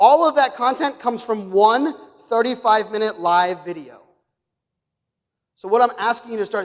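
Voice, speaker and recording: This man talks at a fairly quick pace in an extremely high pitch, animated in tone with lively intonation. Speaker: keynote speaker. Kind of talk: conference talk. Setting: stage with audience. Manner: fast.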